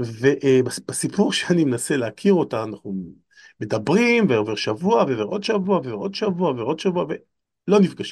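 This man's fairly high voice swings very widely in pitch and has vocal fry. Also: quiet background. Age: 50s. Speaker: lecturer and author. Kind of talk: casual chat.

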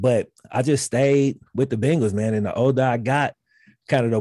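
With an American accent, a man talks at a fairly quick pace in a dark, mellow tone with ordinary pitch variation, on a very clean recording with a silent background. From Mississippi. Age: 30s. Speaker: sports YouTuber. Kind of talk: casual chat.

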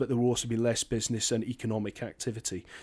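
A man with a Scottish accent speaks at a medium pitch on a very clean recording with a silent background. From northern Scotland. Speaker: podcast co-host. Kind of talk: casual discussion.

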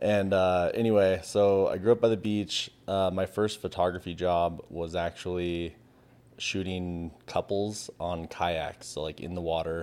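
At a fairly slow pace, this speaker talks with fairly even intonation in a West Coast American accent. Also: man, very deep, low pitch for a man. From Southern California (San Diego). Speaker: photographer. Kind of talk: casual chat.

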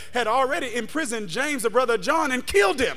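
With music in the background, a man talks at a very fast pace and an extremely high pitch in an animated, warm tone. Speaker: pastor. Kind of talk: sermon. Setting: church with a live congregation and online chat. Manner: animated, call-and-response preaching, urging the crowd to shout, clap and say amen; warm, conversational and jokey, checking in with "does that make sense?".

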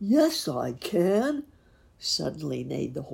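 This is an unforced reading voice. It stays an unforced reading voice throughout.

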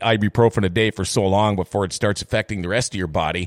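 In a dry, close sound with no echo, a man talks very fast. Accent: American. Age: 50s. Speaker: radio host. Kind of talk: casual chat. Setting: studio.

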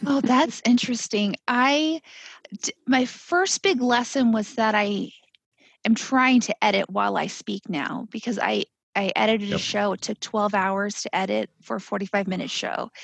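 A woman speaks at a moderate pace in a fairly high pitch, her voice somewhat breathy with ordinary pitch variation. The sound is dry and close, with no echo. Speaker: pathologist and podcast co-host. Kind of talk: casual panel chat. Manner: talkative.

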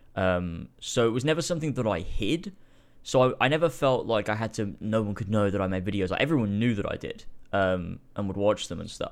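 This man has an unremarkable speaking voice with a fairly low pitch. He talks at a fairly quick pace with lively intonation. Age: 20s. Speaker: YouTuber. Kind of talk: casual chat.

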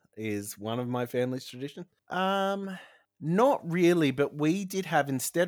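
On a very clean recording with a silent background, a man speaks at a fairly slow pace with lively intonation. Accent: Australian. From New South Wales, Australia. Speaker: podcast host. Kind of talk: casual chat.

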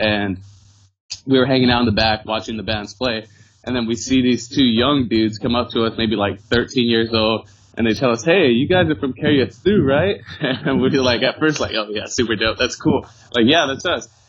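A man with an unremarkable speaking voice and an American accent, at medium pitch, with ordinary pitch variation and a moderate pace. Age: 20s. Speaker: former band member, church volunteer. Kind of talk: casual chat. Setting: remote call.

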